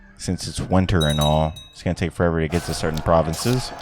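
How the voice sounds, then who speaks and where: This man's fairly quick speech sits over noticeable background noise. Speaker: gaming youtuber. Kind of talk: let's play commentary. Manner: casual, halting.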